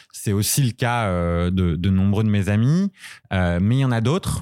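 A man speaks very slowly in a fairly low pitch with lively intonation. The recording is very clean, with a silent background. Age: 30s. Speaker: consultant and cannabis user. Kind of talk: interview testimony. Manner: hesitant with many fillers.

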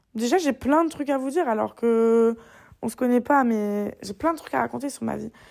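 A woman speaks at a high pitch and a moderate pace, with ordinary pitch variation. The recording is very clean, with a silent background. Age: 20s. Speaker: podcaster. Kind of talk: casual monologue. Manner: animated, smiling intonation; hesitant, many fillers.

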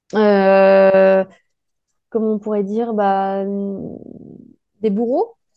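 Speaking at a very slow pace with long, frequent pauses, a woman keeps a medium pitch and a monotone, flat intonation. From France. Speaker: podcast host, life coach. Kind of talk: interview.

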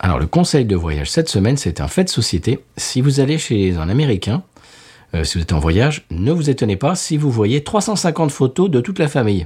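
A man at medium pitch and moderate pace, with very wide pitch swings and vocal fry. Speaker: podcast co-host, beer reviewer. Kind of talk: casual chat. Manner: animated.

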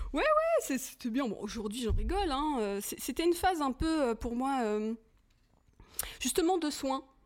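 Her voice high in pitch, a woman talks at a fairly slow pace with long, frequent pauses. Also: lively intonation. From Paris suburbs, Hauts-de-Seine. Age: 40s. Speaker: film director. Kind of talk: casual chat.

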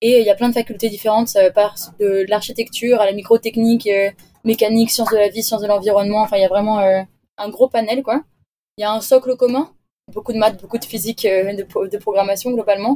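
Her voice is dark and mellow, pitched fairly high for a woman. She talks at a fairly quick pace in a monotone, flat intonation. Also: dry, close sound with no echo. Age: 20s. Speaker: engineering graduate, expedition crew member. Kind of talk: interview. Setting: remote call from a moored sailboat.

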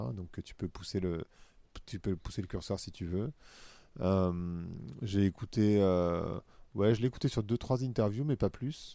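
In a very clean recording with a silent background, a man with a dark, mellow tone and fairly low pitch speaks fairly slowly, leaving long, frequent pauses, his loudness swinging widely. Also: ordinary pitch variation. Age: 40s. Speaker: podcaster and corporate consultant. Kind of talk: casual interview. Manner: hesitant, many fillers.

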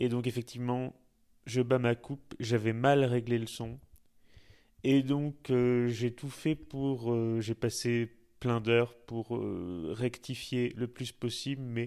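The voice is dark and mellow, flat and monotone, moving at a very slow pace with long, frequent pauses. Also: man, medium pitch for a man. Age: 30s. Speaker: podcast host. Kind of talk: interview.

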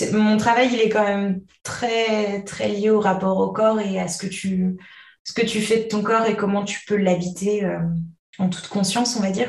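A woman of medium pitch speaks somewhat breathily at a fairly slow pace, her intonation monotone and flat. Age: 20s. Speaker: hypnotherapist, mother of two. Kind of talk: personal testimony in interview.

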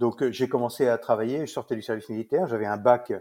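This man's voice sits at a medium pitch, with a dark, mellow tone and a fairly quick pace. The sound is dry and close, with no echo. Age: 60s. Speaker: saddlery business owner. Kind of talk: interview. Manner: hesitant, many fillers.

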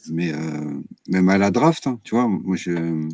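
A man's very deep, low voice, very slow in pace but lively in intonation. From Brittany, France. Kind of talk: casual chat.

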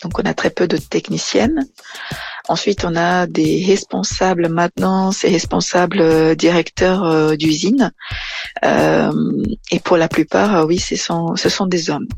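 A woman at a very slow pace, with a dry, close sound, no echo, and noticeable background noise. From Brazil. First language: Portuguese (speaking French). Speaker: engineer. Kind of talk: interview. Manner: halting.

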